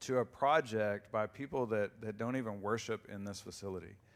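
At a moderate pace, a man with an unremarkable speaking voice talks with ordinary pitch variation. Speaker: church staff member giving announcements. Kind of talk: announcements. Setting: church.

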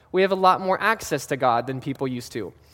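Ordinary pitch variation over music playing in the background. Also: man. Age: 20s. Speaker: youth pastor. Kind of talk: sermon. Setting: church sanctuary, also streamed. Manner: casual, with many fillers.

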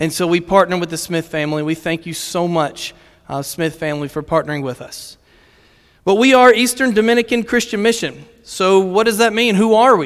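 A man with a Virginia accent talks at a fairly quick pace in a high pitch. His intonation is lively, and the recording is very clean with a silent background. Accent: Virginia American. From Virginia, US. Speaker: missions director. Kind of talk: sermon. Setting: church stage with audience.

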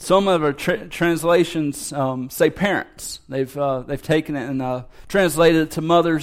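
Delivered in a normal speaking voice, the speech moves at a moderate pace with hardly any pauses. Pitch variation is ordinary. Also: man. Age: 30s. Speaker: pastor. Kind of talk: sermon. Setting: church.

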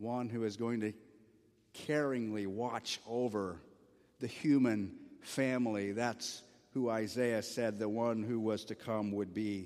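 This man speaks at a medium pitch and a fairly slow pace, with long, frequent pauses and fairly even intonation. Audible room echo surrounds his voice. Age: 50s. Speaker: pastor. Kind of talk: sermon.

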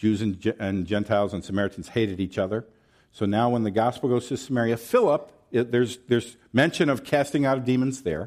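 Very cleanly recorded against a silent background, a man with an American accent speaks at a fairly quick pace, medium in pitch with ordinary pitch variation. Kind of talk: sermon. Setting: church.

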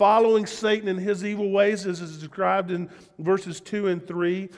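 In a Southern US accent, a man speaks at a high pitch. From US South. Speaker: pastor. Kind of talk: sermon. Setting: church.

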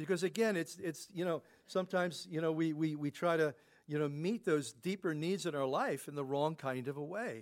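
With an unremarkable speaking voice, a man talks at a fairly quick pace, his pitch fairly high and its variation ordinary. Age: 60s. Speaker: pastor. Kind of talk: sermon.

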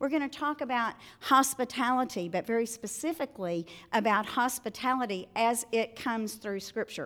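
In a very clean recording with a silent background, a woman with a high pitch speaks in a warm, cheerful tone with a Southern US accent. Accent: Southern US, noticeable. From Arkansas, US South. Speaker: speaker at a women's event. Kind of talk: talk to a live audience. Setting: live event with audience. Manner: warm, cheerful, friendly.

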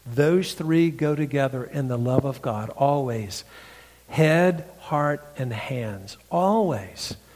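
A man with a Southern US accent at a fairly high pitch and very slow pace, against noticeable background noise. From North Carolina, US South. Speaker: pastor and preacher. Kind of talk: sermon. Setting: church.

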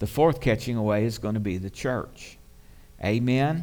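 Audible room echo around a man's fairly slow speech, its pitch varying in an ordinary way. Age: 60s. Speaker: pastor. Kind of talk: sermon. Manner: animated.

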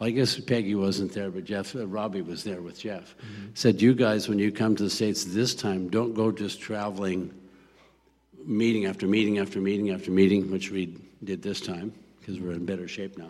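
A man speaks in a plain, everyday voice at a fairly quick pace. His pitch sits fairly low, with fairly even intonation. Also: big swings in loudness. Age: 60s. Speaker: missionary pastor. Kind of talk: interview testimony. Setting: church service with congregation.

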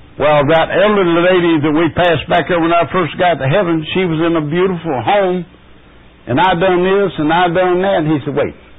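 A man's high voice at a fairly quick pace, fairly even in intonation, over noticeable background noise. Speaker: guest speaker teaching a Bible lesson. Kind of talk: Bible lesson. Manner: halting.

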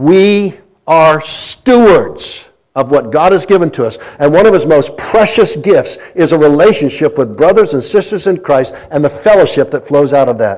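A man with an American accent speaks in an ordinary speaking voice at a moderate pace. His pitch is fairly high, with lively intonation. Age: 60s. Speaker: pastor. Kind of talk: sermon. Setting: church.

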